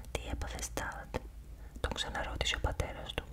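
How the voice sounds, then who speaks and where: With noticeable noise behind it, a whisper moves at a moderate pace. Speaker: ASMR creator. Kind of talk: ASMR horror novel reading. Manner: whispered.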